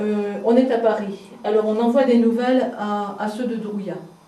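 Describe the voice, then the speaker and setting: Against noticeable background noise, a woman speaks at a fairly slow pace with a fairly high pitch and ordinary pitch variation. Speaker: local heritage guide. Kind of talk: guided house tour, casual explanation.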